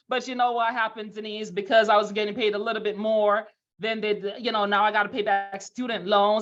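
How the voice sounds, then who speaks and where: In a Jamaican accent, a woman talks fairly quickly at a medium pitch. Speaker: financial services leader. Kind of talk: motivational webinar talk. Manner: animated.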